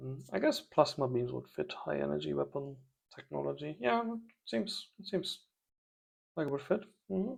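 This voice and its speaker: Speaking at a moderate pace with a non-native accent, a man leaves long, frequent pauses. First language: not English. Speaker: strategy game let's player. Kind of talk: gameplay commentary. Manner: thinking aloud, hesitant.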